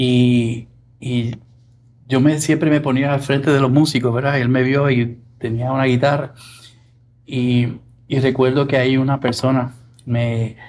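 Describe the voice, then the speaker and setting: A man at a medium pitch speaks with monotone, flat intonation and long, frequent pauses. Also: fairly slow pace. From Puerto Rico (Arecibo). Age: 60s. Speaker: music producer. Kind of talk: interview.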